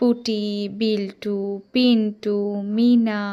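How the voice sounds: A woman speaks slowly in a fairly high voice. Her tone is dark and mellow.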